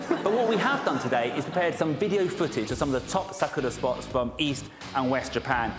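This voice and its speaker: With music in the background and audible room echo, a man with a British accent and a fairly high voice talks very fast with lively intonation. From Britain. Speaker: comedian and TV show host. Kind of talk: comedy panel show hosting. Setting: TV studio with panel.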